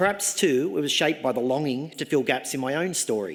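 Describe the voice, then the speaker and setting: Fairly quick speech from a man in an Australian accent. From Australia, Sydney. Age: 60s. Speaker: professor. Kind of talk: graduation address. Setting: ceremony hall with audience. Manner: formal.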